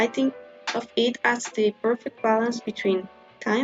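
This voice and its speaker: A woman with a non-native accent speaks fairly slowly at a fairly high pitch in a flat monotone. Music plays in the background. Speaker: stationery and study notes creator. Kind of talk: casual tutorial voiceover.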